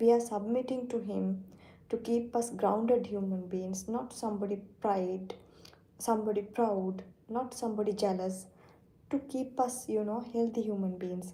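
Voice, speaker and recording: With a non-native accent, a woman talks in a fairly high, somewhat breathy voice with a dark, mellow tone and fairly even intonation, and the room echo is audible. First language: not English. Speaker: Islamic teacher streaming live. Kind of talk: live-stream religious talk. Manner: halting.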